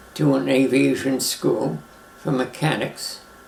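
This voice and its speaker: Over noticeable background noise, someone with an American accent speaks at a very slow pace. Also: man. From Brooklyn, New York. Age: 90s. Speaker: retired airline pilot. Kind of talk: life story interview.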